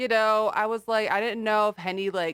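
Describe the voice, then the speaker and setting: A woman talks at a moderate pace with a Californian accent. Her recording is very clean and the background is silent. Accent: Californian American English. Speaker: podcast host. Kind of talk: casual interview chat.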